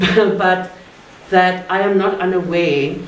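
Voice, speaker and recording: A woman speaks at medium pitch in a South African accent. There is audible room echo and noticeable background noise. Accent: Afrikaans South African English. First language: Afrikaans. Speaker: academic speaker. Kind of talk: public talk. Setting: art gallery event with audience.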